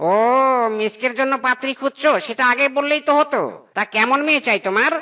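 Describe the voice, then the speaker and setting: In a cartoonish character voice, a female-sounding voice speaks high for a woman at a moderate pace. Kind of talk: comic cartoon acting. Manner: chatty, obliging.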